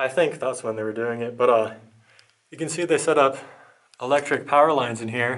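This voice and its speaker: A man's voice with ordinary pitch variation, in a quiet background. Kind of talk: exploration commentary. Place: tunnel cave. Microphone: phone near.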